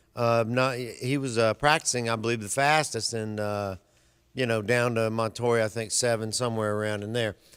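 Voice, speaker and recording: Recorded very cleanly against a silent background, a man speaks with a Southern US accent. He keeps a medium pitch and a moderate pace. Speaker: sports radio co-host. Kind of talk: race preview rundown; casual radio chat. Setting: radio studio with webcam.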